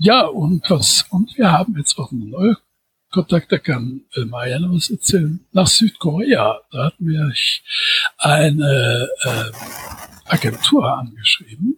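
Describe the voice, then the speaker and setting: Recorded with a dry, close sound and no echo, a man speaks at a very slow pace in a fairly high voice that makes very wide pitch swings. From Düsseldorf, Germany. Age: 60s. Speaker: science fiction author and editor. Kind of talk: casual interview.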